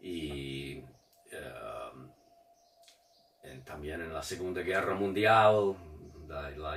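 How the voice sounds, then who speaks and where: With an American accent and ordinary pitch variation, a man speaks over audible room echo. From Detroit, US Midwest. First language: English (speaking Spanish). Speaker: writer and retired teacher. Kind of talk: interview. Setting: studio video recording. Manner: halting, many hesitations and restarts.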